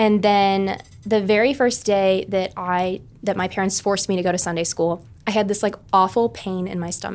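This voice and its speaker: At a moderate pace, a woman talks in a plain, everyday voice with medium pitch and fairly even intonation. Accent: American. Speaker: college student. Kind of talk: podcast interview.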